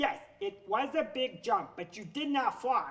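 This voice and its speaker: Using a put-on character voice, a man talks at a moderate pace in an extremely high pitch with very wide pitch swings. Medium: read story. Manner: cautious, earnest.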